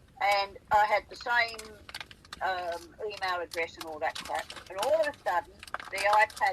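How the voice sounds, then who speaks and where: A woman with an Australian accent speaks at medium pitch and a moderate pace, with lively intonation, big swings in loudness, and long, frequent pauses, over noticeable background noise. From South Australia. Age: 80s+. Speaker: farmer recalling wildlife sightings. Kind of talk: casual chat. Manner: animated.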